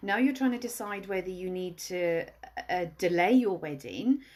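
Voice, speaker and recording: The speaker has a Welsh accent and lively intonation, heard against a quiet background. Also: woman. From Wales. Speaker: wedding planner. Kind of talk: live stream tips talk. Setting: Instagram live video. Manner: casual, chatty.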